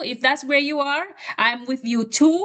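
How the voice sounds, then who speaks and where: The speech goes at a moderate pace against noticeable background noise. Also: woman. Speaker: webinar moderator. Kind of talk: online session moderation.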